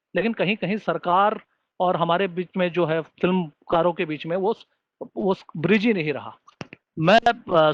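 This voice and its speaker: In a non-native accent, a man speaks at a high pitch with ordinary pitch variation, recorded with a dry, close sound and no echo. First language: not Hindi (speaking Hindi). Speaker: webinar moderator, screenwriter. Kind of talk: webinar panel discussion.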